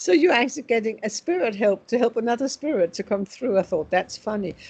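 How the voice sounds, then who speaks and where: A woman in a Danish accent, fairly high-pitched, with lively intonation and a very fast pace. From Denmark. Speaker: spiritual medium. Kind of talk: interview.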